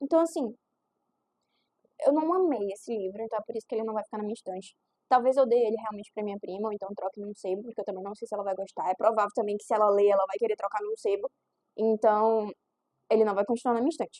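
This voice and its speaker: Very fast with long, frequent pauses, a woman's fairly high voice carries a dark, mellow tone and ordinary pitch variation in a dry, close sound with no echo. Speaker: book YouTuber. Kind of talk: casual book review vlog. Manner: animated.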